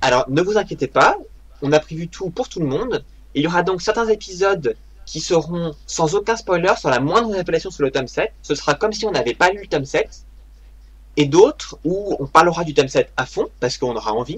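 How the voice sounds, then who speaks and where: Talking at a fairly quick pace, a man uses lively intonation. His pitch is high. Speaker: podcast host. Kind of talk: casual chat. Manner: fast.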